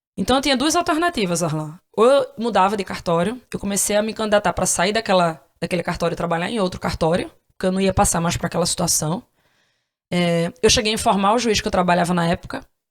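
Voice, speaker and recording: Over a very clean recording with a silent background, a woman at medium pitch speaks at a very fast pace with ordinary pitch variation. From Brazil, Northeast. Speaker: podcast host, former court analyst. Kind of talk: interview, personal story.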